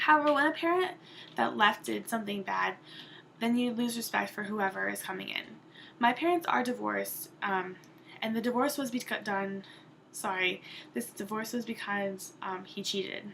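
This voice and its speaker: This woman has a medium-pitched voice with a bright, sharp tone. She talks at a moderate pace with lively intonation. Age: 20s. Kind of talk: class speech presentation. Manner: hesitant, with false starts.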